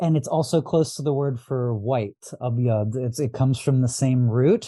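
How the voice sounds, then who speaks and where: A man with a West Coast US accent speaks at medium pitch and a moderate pace, his tone dark and mellow, with ordinary pitch variation. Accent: General American, West Coast. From US West Coast, Los Angeles. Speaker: astrologer and diviner. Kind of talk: podcast interview. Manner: halting, many fillers and repeats.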